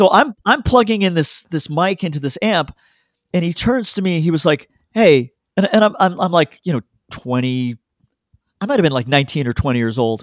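With a Canadian accent, a man speaks at a high pitch that moves in very wide swings. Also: moderate pace, dry, close sound with no echo. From Canada (Toronto), born in London. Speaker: record producer and sound engineer. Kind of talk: casual chat.

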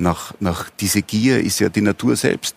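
Talking at a moderate pace, a man has an unremarkable speaking voice with a fairly low pitch. The sound is dry and close, with no echo. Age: 60s. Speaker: country doctor. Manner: calming, reassuring.

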